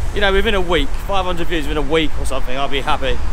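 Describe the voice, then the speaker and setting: Over noticeable background noise, a man talks at a very fast pace in a high voice with ordinary pitch variation. The sound is dry with no echo. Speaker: travel vlogger. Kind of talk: casual vlog chat. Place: street. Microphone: phone near.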